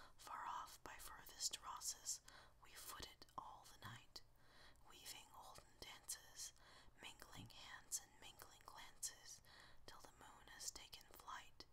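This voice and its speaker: A man whispers his words at a very slow pace. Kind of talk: ASMR poetry reading. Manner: whispered; calm, soothing.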